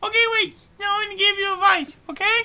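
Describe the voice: Cartoonish character voice, bright and sharp in tone, fast in pace with fairly even intonation.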